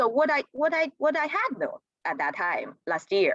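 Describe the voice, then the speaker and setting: A woman with a Chinese accent at a fairly slow pace, her pitch swinging very widely, in a dry, close sound with no echo. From China. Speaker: community college teacher. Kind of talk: presentation. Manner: halting, many fillers.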